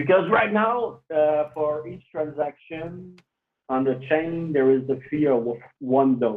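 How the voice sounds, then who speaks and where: Delivered at a very slow pace in a French Canadian accent, the speech shows ordinary pitch variation. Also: man, fairly high pitch for a man. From Quebec, Canada. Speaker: cryptocurrency developer. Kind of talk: interview.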